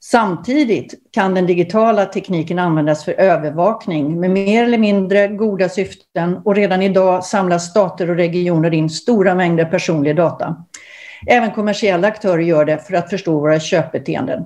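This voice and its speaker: A woman talks at a fairly quick pace in a medium pitch, her tone dark and mellow against a quiet background. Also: ordinary pitch variation. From Sweden. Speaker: moderator. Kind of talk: panel moderation. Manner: formal. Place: home room. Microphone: video call.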